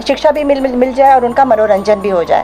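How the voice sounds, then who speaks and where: Over background music, a woman with a high voice speaks with lively intonation. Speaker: radio announcer; radio drama artist. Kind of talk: interview answer.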